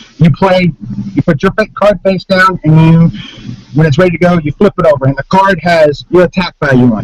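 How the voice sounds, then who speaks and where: The man speaks at a high pitch with ordinary pitch variation. The sound is dry and close, with no echo. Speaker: game designer. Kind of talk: casual chat. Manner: loud. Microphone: laptop mic, no external mic, level fluctuating.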